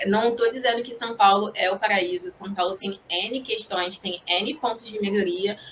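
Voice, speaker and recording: Speaking at a moderate pace with hardly any pauses, a woman with a Rio de Janeiro accent keeps a fairly high pitch and ordinary pitch variation over noticeable background noise. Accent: Rio de Janeiro (carioca). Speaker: corporate professional. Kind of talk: casual interview.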